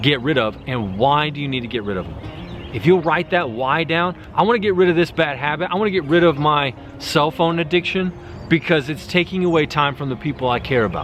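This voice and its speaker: A man's energetic, lively voice, fairly high in pitch and fairly quick, with noticeable background noise. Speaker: self-improvement YouTuber. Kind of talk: motivational talk to camera. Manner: fast.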